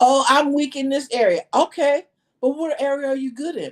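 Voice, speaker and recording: Loud woman's voice in an American accent, high in pitch, moderate pace. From New York. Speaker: life coach. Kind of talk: podcast interview.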